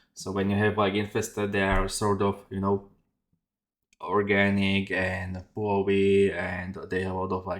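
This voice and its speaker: A man with a fairly low pitch talks in a monotone, flat intonation over a quiet background. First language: not English. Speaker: 3D artist. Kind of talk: tutorial. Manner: halting, many fillers. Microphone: headset.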